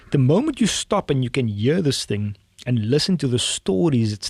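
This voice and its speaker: With a South African accent, a man speaks at a moderate pace and a medium pitch, his voice somewhat breathy. The sound is dry and close with no echo, on a very clean recording with a silent background. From South Africa, Cape Town. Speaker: tech entrepreneur. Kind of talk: podcast interview. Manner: animated.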